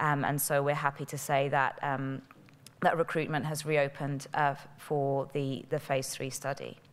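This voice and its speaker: A woman speaks with a British accent in a very deep, low pitch. Her intonation stays flat and monotone. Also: moderate pace. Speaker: pharmaceutical company representative. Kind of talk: conference presentation. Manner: hesitant, many fillers.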